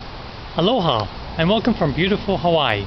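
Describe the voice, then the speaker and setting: A man speaks with an Australian accent. Noticeable background noise can be heard. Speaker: company founder. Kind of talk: casual monologue. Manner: halting, many fillers.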